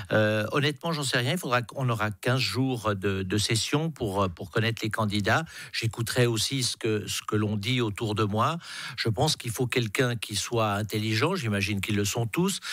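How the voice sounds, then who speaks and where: Ordinary pitch variation shapes a man's medium-pitched speech at a moderate pace. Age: 60s. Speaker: politician. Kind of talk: radio interview. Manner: hesitant, many repetitions.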